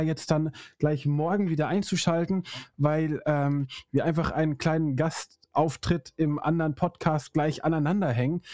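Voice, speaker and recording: The recording is very clean with a silent background and a dry, close sound with no echo, as a man with a fairly high pitch and a dark, mellow tone speaks at a moderate pace with fairly even intonation and very even loudness. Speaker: podcast host. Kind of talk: casual chat. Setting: studio.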